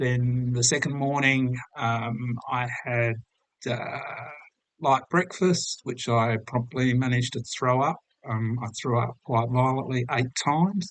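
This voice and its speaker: A man speaks at a medium pitch with fairly even intonation. His pace is very slow. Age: 60s. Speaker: patient vlogger. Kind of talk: personal health update. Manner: hesitant with many fillers.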